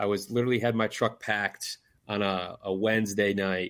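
A man's fairly low voice with an Upper Midwest accent, monotone and flat in intonation, on a very clean recording with a silent background. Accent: Upper Midwest American. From northern lower Michigan. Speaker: conservation apparel business owner, bowhunter. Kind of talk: casual podcast interview. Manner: hesitant, many fillers.

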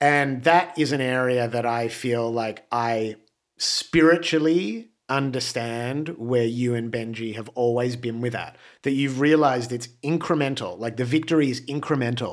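On a very clean recording with a silent background, a man speaks with an Australian accent. His pitch is medium, his pace moderate and his intonation fairly even. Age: 40s. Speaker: musician. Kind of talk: casual chat. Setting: studio.

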